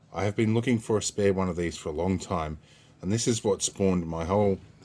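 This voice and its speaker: Speaking at a fairly quick pace, the man has a very deep, low pitch and fairly even intonation. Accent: Australian. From Australia. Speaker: repair youtuber. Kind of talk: casual vlog unboxing. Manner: relaxed with frequent fillers.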